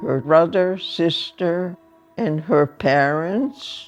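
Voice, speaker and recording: Music plays in the background as a woman speaks at a very slow pace with a fairly low pitch. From Hungary. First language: Hungarian. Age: 90s. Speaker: Holocaust survivor. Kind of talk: testimony.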